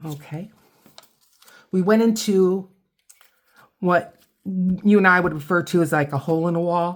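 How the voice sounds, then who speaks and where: A woman with an American accent and a fairly low pitch speaks at a fairly slow pace with fairly even intonation, leaving long, frequent pauses. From US Midwest, Toledo Ohio. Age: 60s. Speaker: craft video creator. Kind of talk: casual crafting tutorial with storytelling. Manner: halting, frequent repetitions.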